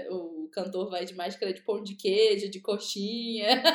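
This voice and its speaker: A woman speaks in an ordinary speaking voice at medium pitch. Her pace is fairly slow. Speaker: podcast co-host. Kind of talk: casual chat.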